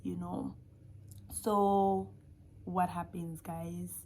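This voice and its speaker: A woman is speaking. She has a non-native accent. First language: not English. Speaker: YouTuber sharing faith testimony. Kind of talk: testimony. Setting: recording at home at midnight. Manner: animated.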